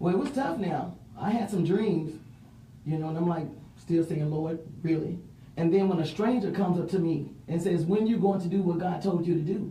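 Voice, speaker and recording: A woman with a Mississippi accent at a fairly low pitch and moderate pace, with ordinary pitch variation, noticeable background noise and audible room echo. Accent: US South (Mississippi). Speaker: city council candidate. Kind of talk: interview.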